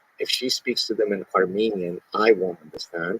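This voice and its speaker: This man talks at a moderate pace, with a dry, close sound and no echo. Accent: Arabic. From Lebanon, then Montreal. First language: Arabic. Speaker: podcast guest. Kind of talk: casual chat.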